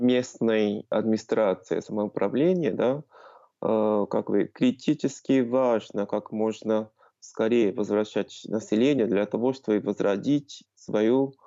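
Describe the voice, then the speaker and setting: The speech moves at a very slow pace, with very even loudness and ordinary pitch variation. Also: man, medium pitch for a man. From Japan. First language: Japanese (speaking Ukrainian). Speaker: research cooperation coordinator. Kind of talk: interview. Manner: halting.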